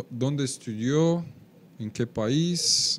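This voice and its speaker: In a Portuguese accent, a man speaks at a very slow pace with ordinary pitch variation. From Brazil. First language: Portuguese (speaking Spanish). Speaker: webcast host. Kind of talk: live webcast interview. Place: studio. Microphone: studio mic.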